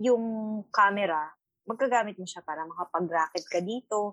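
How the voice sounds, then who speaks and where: A woman with a medium pitch speaks at a moderate pace, her intonation lively and her loudness swinging widely. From Philippines. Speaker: cruise ship photographer. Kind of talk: casual chat. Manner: stumbling over words.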